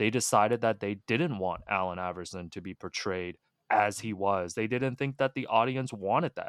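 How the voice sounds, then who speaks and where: With a Canadian accent and a normal speaking voice, a man shows ordinary pitch variation in a dry, close sound with no echo, on a very clean recording with a silent background. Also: fairly low pitch for a man, moderate pace. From Hong Kong, raised in Toronto. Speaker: basketball writer and author. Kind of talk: casual chat.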